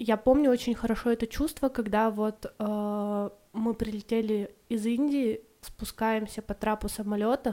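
With a normal speaking voice, a woman talks at a fairly slow pace, her fairly high pitch held in fairly even intonation. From Irkutsk, Siberia. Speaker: podcast co-host. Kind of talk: casual conversation.

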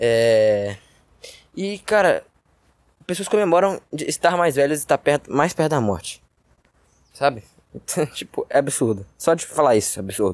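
A man with a fairly high pitch talks in very wide pitch swings, broken by long, frequent pauses. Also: fairly slow pace. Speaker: solo podcaster. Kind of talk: casual monologue. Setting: outdoors, building playground. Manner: loud.

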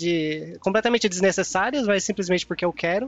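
This man talks at a very fast pace in a high pitch, with ordinary pitch variation. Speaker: podcast editor. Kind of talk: casual chat.

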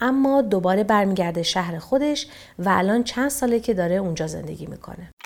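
Here is a woman with a plain, everyday voice at medium pitch and lively intonation. The recording is very clean, with a silent background. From small Iranian town. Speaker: podcast host. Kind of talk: scripted narration.

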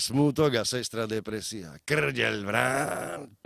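Dry and close with no echo, a man's voice carries lively intonation and vocal fry. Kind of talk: slam poetry performance. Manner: rhythmic, declamatory, dense wordplay delivery.

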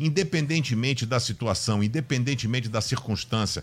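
With lively intonation and some vocal fry, a man speaks at a medium pitch. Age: 50s. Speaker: pastor. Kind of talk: radio panel debate.

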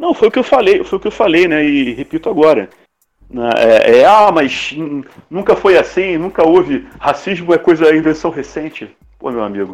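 At a moderate pace, a man talks in a high pitch that swings very widely. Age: 40s. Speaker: podcaster. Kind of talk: panel discussion.

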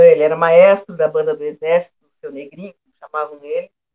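A woman's voice with very wide pitch swings, dry and close with no echo. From southern Brazil, Pelotas, Rio Grande do Sul. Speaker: singer and retired teacher. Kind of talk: interview.

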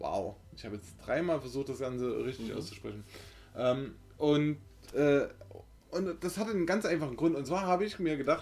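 A man with a Saxon accent, fairly high pitch and very wide pitch swings, at a moderate pace with long, frequent pauses. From Saxony, Germany (central, small village). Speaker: podcast co-host. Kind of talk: casual chat.

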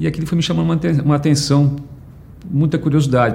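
A man with a São Paulo accent talks at a fairly quick pace, his pitch fairly high. His voice is somewhat breathy with a dark, mellow tone. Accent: Brazilian Portuguese, Paulistano. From Brazil, São Paulo. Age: 50s. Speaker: HR director. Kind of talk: personal life story interview. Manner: halting, with many fillers.

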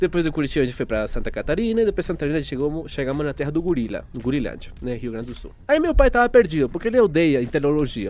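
This man speaks with a Venezuelan accent. His pitch is fairly high and his intonation lively. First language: Spanish (speaking Portuguese). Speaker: journalism student. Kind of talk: casual chat.

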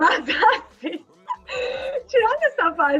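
With noticeable background noise behind her, a woman talks at a fairly slow pace and with lively intonation. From southern Brazil, Rio Grande do Sul (Farroupilha). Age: 20s. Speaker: entrepreneur and social media influencer. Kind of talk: casual interview.

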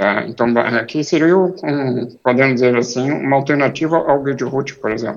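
Fairly high pitch from a man, a normal speaking voice at a moderate pace, pitch varying in an ordinary way. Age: 30s. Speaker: embedded Linux engineer and author. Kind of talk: interview.

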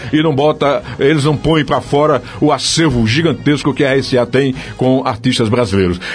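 A man with a fairly high voice talks at a moderate pace with hardly any pauses, ordinary pitch variation and very even loudness over noticeable background noise. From Paraíba, northeast Brazil. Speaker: journalist and culture researcher. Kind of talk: radio interview.

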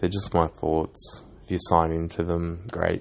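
Very slowly, a man speaks in a very deep, low voice. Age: 30s. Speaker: podcaster. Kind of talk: personal diary monologue. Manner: halting.

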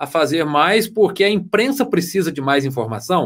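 This man talks at a moderate pace with lively intonation. His pitch is high for a man. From Brazil, southern Minas Gerais (Varginha). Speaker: sports journalist and live show host. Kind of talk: casual chat.

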